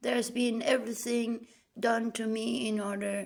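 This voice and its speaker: A woman's medium-pitched voice carries noticeable vocal fry. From Denmark. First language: Danish. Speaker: vlogger. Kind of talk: personal monologue.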